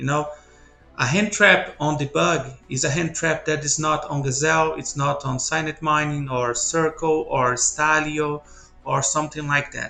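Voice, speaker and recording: Over music in the background, a man with a Brazilian accent speaks at a fairly slow pace with fairly high pitch and fairly even intonation. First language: Portuguese. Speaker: card game player. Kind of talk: deck profile tutorial. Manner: halting, with frequent fillers.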